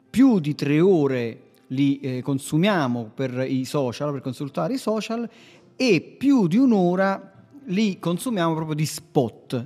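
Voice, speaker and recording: With music in the background, a man speaks at a very slow pace in a fairly high voice with very wide pitch swings. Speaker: podcast host, web marketing agency owner. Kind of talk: casual instructional chat on marketing. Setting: remote recording with co-host.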